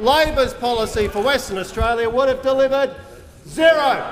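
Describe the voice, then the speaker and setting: Against noticeable background noise, a man speaks at a moderate pace in an extremely high pitch with fairly even intonation. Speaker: government minister answering in parliament. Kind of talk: parliamentary speech.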